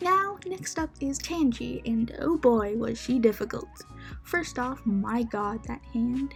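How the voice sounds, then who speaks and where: A woman speaks with music in the background. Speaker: digital artist. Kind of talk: casual voiceover commentary. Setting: laptop microphone.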